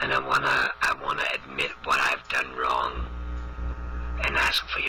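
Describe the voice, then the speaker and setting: A man puts on a character voice at a moderate pace, sounding strained, hoarse and raspy. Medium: solo performance. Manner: rambling, earnest, confused.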